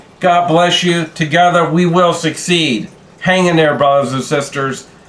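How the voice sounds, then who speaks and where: There is noticeable background noise and audible room echo. A man speaks at a high pitch with fairly even intonation. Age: 60s. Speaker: YouTube creator. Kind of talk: casual vlog talk. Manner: halting, with fillers and repeats.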